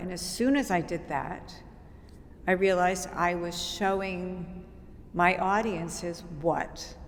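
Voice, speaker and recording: A woman's voice carries an audible room echo. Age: 60s. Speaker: dance company founder and choreographer. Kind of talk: interview.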